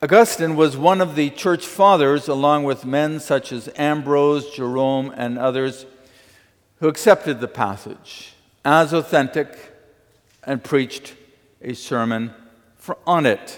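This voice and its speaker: It is a normal speaking voice at a fairly slow pace with ordinary pitch variation. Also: man, fairly high pitch for a man. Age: 60s. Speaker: pastor. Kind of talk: sermon.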